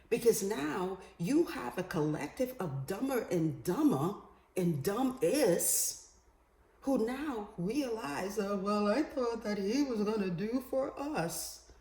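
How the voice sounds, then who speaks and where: Over noticeable background noise, the speech goes very slowly with very wide pitch swings. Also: woman, medium pitch for a woman. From Bahamas. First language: Creole. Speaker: vlogger. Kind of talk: political commentary monologue. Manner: animated.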